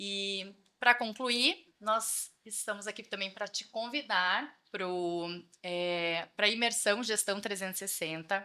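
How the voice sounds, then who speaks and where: A woman speaks very slowly at medium pitch with ordinary pitch variation. Her tone is bright and sharp, in a very clean recording with a silent background. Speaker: financial consultant, podcast co-host. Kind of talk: podcast chat, event promotion.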